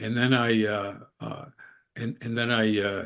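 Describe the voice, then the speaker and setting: A man speaks at a medium pitch with vocal fry. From Upstate New York (Endicott). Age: 80s+. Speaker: biographer. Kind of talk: interview. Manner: halting, repeats words.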